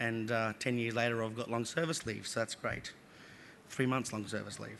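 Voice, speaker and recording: Audible room echo surrounds this man's voice. He has a medium pitch and an Australian accent. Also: fairly even intonation. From Australia, Northern Territory. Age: 30s. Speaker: public servant. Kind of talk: conference talk. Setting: stage with small audience. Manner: fast; hesitant, many fillers.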